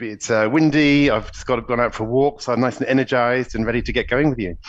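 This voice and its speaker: Over a quiet background, a man speaks with a British accent. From UK. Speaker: executive coach. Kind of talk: podcast interview.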